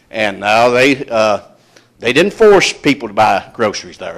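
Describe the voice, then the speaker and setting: Lively intonation at a moderate pace. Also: man. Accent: Appalachian. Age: 60s. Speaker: retired coal miner speaking at public meeting. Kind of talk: public comment testimony. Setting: public hearing with audience. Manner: halting, many fillers.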